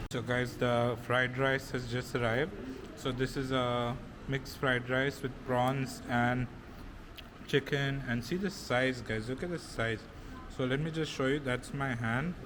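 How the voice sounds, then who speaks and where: With an unremarkable speaking voice, a man talks at a fairly slow pace, with medium pitch and fairly even intonation. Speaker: food and travel vlogger. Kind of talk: food vlog. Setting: restaurant.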